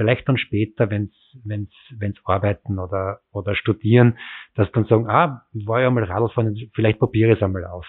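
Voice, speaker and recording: A man speaks at a fairly low pitch with ordinary pitch variation. It is a plain, everyday voice at a moderate pace. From rural Styria, Austria (near Graz). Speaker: city cycling official. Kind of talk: interview.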